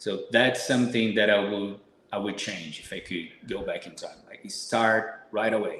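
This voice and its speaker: Speaking with a Brazilian Portuguese accent, a man shows big swings in loudness, with audible room echo and noticeable background noise. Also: fairly slow pace. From Brazil, São Paulo. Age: 30s. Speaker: supplement company owner, fitness guest. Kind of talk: podcast interview.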